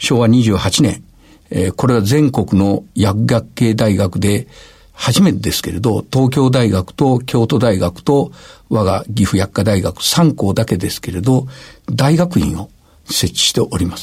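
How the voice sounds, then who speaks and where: A man with a medium pitch speaks at a fairly slow pace in a somewhat breathy voice. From Gifu Prefecture, Japan. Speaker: university president. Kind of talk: radio interview.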